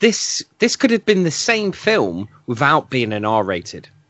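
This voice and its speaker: A man with a British accent talks at a very slow pace, his pitch swinging very widely. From Britain. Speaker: film podcast guest co-host. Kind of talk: casual chat. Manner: halting, many fillers and repeats.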